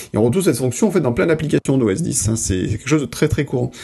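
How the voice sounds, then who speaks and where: A man's medium-pitched voice, dark and mellow in tone, somewhat breathy, with lively intonation. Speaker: podcast host. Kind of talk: casual chat.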